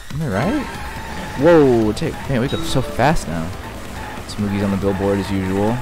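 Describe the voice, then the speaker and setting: With music in the background, the voice has an animated tone, a moderate pace and long, frequent pauses. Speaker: gaming video creator. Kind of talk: let's play commentary. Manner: casual, animated; talking quietly.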